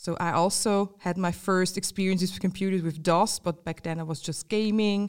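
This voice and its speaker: A woman's medium-pitched, flat, monotone voice at a moderate pace with hardly any pauses, on a very clean recording with a silent background. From Switzerland, canton of Glarus. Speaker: innovation and design manager. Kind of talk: interview. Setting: office studio.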